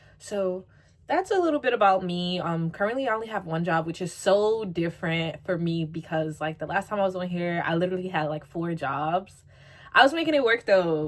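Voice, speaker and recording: A woman uses an ordinary speaking voice with an American accent, medium in pitch. Her pitch variation is ordinary and her pace moderate. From New York. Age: 20s. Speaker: YouTuber. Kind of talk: casual Q&A vlog. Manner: casual, filler-heavy.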